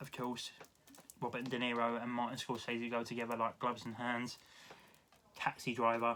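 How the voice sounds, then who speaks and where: Speaking with a British accent, a man keeps a medium pitch and monotone, flat intonation. His pace is moderate, broken by long, frequent pauses. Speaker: YouTube film collector. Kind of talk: casual haul video monologue.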